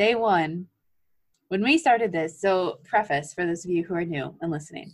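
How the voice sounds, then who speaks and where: Pitched fairly low, a woman talks at a moderate pace in an unremarkable speaking voice with ordinary pitch variation. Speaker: physical therapy student podcast co-host. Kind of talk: casual chat.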